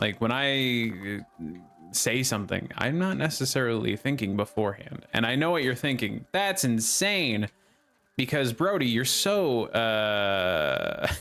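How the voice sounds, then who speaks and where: A man at a medium pitch and a fairly slow pace, with very wide pitch swings and music in the background. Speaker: gaming streamer. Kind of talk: live gameplay commentary. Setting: live stream. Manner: repeats sentence starts, many uhs and ums.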